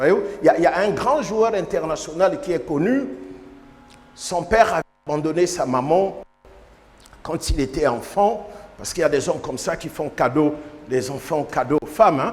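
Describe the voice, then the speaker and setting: Over noticeable background noise, a man with a high pitch and lively intonation talks at a moderate pace, leaving long, frequent pauses. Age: 60s. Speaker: bishop. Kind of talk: sermon.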